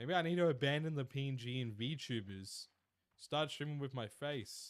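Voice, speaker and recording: With a slight Australian accent, a man speaks at a moderate pace and uses ordinary pitch variation. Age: 20s. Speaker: streamer. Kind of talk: live stream chat. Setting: live stream. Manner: casual.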